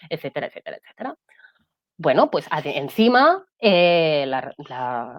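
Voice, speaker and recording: In a Catalan accent, a woman speaks at a fairly slow pace with big swings in loudness, the sound dry and close with no echo. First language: Catalan (speaking Spanish). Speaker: guest sharing mental health testimony. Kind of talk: testimony.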